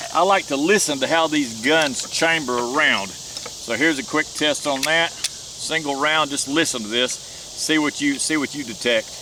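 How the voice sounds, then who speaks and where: The speech moves at a moderate pace with hardly any pauses. Noticeable background noise sits behind it. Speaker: gun reviewer. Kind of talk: casual product review at shooting range. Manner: loud.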